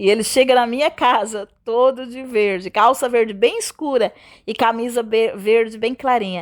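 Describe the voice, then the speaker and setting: The tone is animated and the pace moderate, in a very clean recording with a silent background. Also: woman. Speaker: gospel radio presenter and preacher. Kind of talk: testimony. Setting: radio program.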